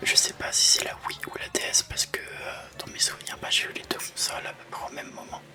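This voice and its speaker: The speaker is soft-spoken and goes at a fairly quick pace with hardly any pauses. Noticeable background noise runs underneath. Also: man, big swings in loudness. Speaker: ASMR gaming youtuber. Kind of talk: whispered gameplay commentary. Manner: whispering, sometimes gets loud.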